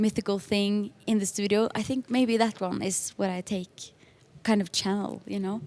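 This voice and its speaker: Her medium-pitched voice stays monotone and flat as the woman speaks at a fairly slow pace. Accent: Norwegian. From Norway. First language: Norwegian. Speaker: music producer and singer. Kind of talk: interview. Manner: halting, many fillers.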